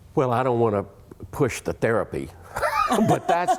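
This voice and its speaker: A man's voice with a dark, mellow tone. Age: 60s. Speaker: therapist. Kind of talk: talk show interview. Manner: halting.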